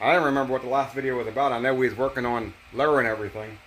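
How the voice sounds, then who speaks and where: A man at medium pitch talks at a very fast pace. Audible room echo and noticeable background noise fill the recording. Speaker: DIY mechanic YouTuber. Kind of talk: casual workshop tutorial. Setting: home garage.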